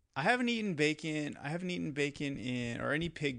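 A man with an American accent talks at a fairly quick pace in a fairly high pitch. The background is quiet. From US Midwest, west central Wisconsin. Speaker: documentary filmmaker and podcaster. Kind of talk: casual chat.

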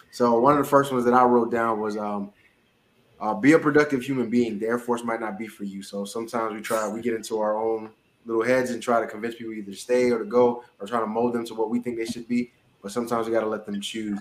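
A man speaks at a very fast pace in a medium pitch, his intonation monotone and flat. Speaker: podcast host, military member. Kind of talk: casual chat.

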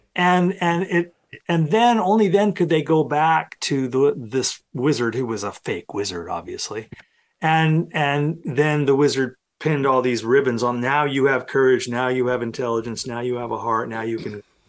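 On a very clean recording with a silent background, a man with a fairly high pitch speaks in a plain, everyday voice. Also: moderate pace. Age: 60s. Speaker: professor. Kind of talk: casual interview conversation.

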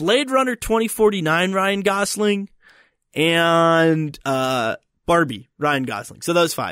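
A high-voiced man with a strong Philadelphia accent talks at a very slow pace. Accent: Philadelphia accent, more pronounced. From Philadelphia, US Northeast. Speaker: podcast host. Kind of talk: casual banter podcast chat. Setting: recording in Colorado.

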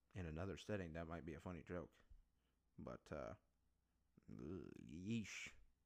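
Vocal fry runs through a man's very deep, low voice as he speaks at a fairly slow pace with lively intonation and long, frequent pauses. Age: 20s. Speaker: podcast host. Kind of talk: solo podcast monologue. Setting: home recording setup.

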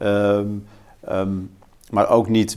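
A man's fairly low voice, monotone and flat in intonation. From Netherlands, Twente (Haaksbergen). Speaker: political researcher. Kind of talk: in-depth interview. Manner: halting, many repeated words.

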